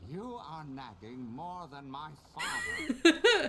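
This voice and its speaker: In a put-on character voice pitched high, a man talks very slowly. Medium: video game. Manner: dry, sardonic.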